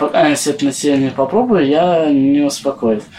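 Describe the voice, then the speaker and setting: Pitch swings very widely as the man talks. His pace is fairly slow. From Kemerovo region, Siberia. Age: young. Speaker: homeless man. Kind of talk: interview.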